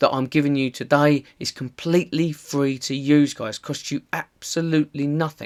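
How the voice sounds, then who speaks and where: A man with a strong Essex accent speaks at a fairly high pitch. The sound is dry and close with no echo, on a very clean recording with a silent background. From Essex, England. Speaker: online marketing tutor. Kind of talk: tutorial. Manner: casual, conversational.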